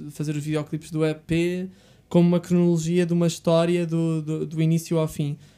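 Speaking at a moderate pace with a European Portuguese accent, a man has a high-pitched voice with a dark, mellow tone. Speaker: podcast host. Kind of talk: casual interview chat. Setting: studio.

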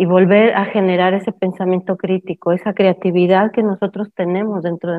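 Her intonation stays monotone and flat as the woman talks at a moderate pace. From Mexico. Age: 50s. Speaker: permaculture educator and discussion host. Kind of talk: live online talk. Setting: live stream with Zoom participants.

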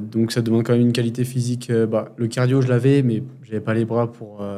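A man's dark, mellow voice at a medium pitch. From France, Grenoble. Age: 20s. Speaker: amateur street workout athlete. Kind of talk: casual chat. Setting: training facility in Bali.

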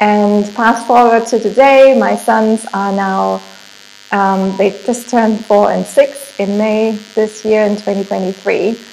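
A woman's fairly high, flat, monotone voice with a German accent at a very slow pace, over noticeable background noise. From Germany. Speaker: entrepreneur. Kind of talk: interview.

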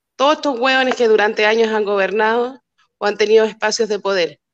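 A woman at a fairly high pitch, very fast pace and fairly even intonation. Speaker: community activist. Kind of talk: casual chat.

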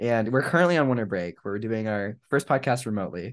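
With an American accent, a man speaks in an unremarkable speaking voice at a medium pitch with ordinary variation against a quiet background. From US South, South Florida. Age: young. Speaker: podcast co-host, college student. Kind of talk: casual chat.

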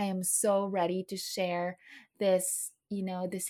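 Very slowly and in a monotone, flat way, a woman speaks in a very clean recording with a silent background. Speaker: health coach podcast host. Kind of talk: solo monologue podcast.

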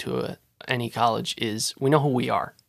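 This man has an unremarkable speaking voice at a medium pitch. His pitch variation is ordinary. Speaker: college student. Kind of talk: casual chat.

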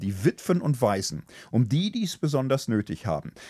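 The voice has vocal fry and very wide pitch swings. The recording is very clean, with a silent background. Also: man. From Germany, Ruhr area (Gelsenkirchen). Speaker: theology professor and podcast co-host. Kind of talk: casual discussion on ethics.

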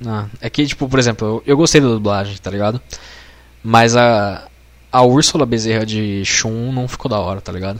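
Ordinary pitch variation marks an unremarkable speaking voice moving at a moderate pace. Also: man, medium pitch for a man. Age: 20s. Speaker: podcaster and designer. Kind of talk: casual chat.

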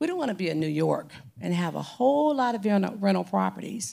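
A woman speaks in a Southern US accent at a fairly quick pace. The recording is very clean, with a silent background. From Mississippi, Gulfport. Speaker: mayoral candidate, property assessor. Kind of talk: candidate forum debate. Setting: stage with audience.

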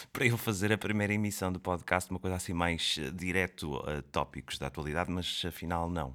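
A man speaks at a very deep, low pitch on a very clean recording with a silent background. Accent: European Portuguese. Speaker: podcast host, comedian. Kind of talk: comedic monologue. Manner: projected, put-on announcer voice.

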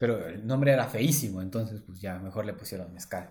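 Speaking at a fairly quick pace with a Mexican accent, a man uses a fairly low, somewhat breathy voice. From Oaxaca, Mexico. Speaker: real estate agent. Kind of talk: casual chat.

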